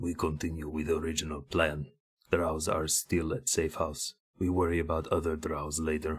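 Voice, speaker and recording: On a very clean recording with a silent background, a man puts on a character voice with a very deep, low pitch, speaking at a moderate pace. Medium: actual play. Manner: clipped, broken grammar.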